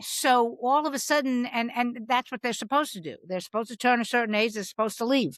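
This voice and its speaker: A woman's loud, high voice at a very fast pace, with hardly any pauses. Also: ordinary pitch variation, dry, close sound with no echo. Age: 60s. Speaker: comedian. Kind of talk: casual chat. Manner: halting.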